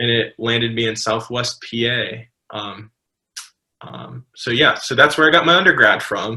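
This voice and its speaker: In a normal speaking voice with an American accent, a man speaks at a moderate pace and medium pitch, with ordinary pitch variation and big swings in loudness. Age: 20s. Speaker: pastor. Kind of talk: casual chat. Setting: podcast recording.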